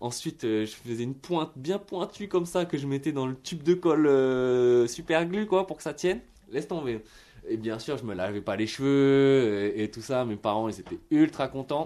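Against a quiet background, a man with a dark, mellow tone talks at a moderate pace with lively intonation. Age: 30s. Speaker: singer and musician. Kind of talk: radio testimony. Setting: radio studio. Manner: halting, many repetitions and fillers.

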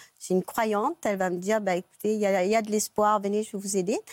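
A woman with a normal speaking voice, medium pitch and fairly even intonation, in a dry, close sound with no echo. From Mauritius. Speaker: guest sharing her love story. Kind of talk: talk show testimony.

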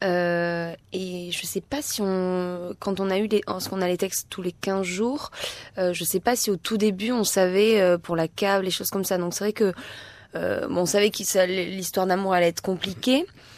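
With fairly even intonation, this woman holds a medium pitch. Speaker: actress. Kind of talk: casual chat.

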